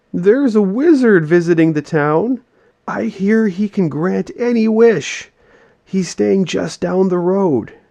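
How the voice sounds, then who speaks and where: Using a put-on character voice, a man speaks at high pitch and a fairly slow pace with lively intonation. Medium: read story. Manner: cooing.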